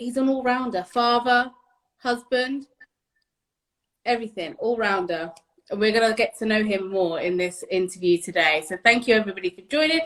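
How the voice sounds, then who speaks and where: Speaking at a moderate pace with long, frequent pauses, a woman uses a fairly high pitch, lively intonation and an animated tone. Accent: British. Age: 30s. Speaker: interviewer. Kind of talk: casual interview.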